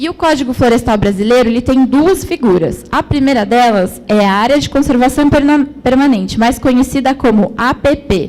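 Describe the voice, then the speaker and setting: In a Brazilian accent, a woman talks at a high pitch with ordinary pitch variation, very even loudness and hardly any pauses. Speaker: environmental management graduate, speaker. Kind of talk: conference presentation. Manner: slow.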